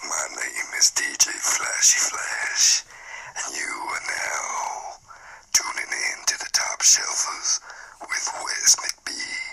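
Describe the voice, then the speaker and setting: Whispering in a put-on character voice, a man speaks at a very slow pace. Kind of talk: announcer. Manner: hyped, polished.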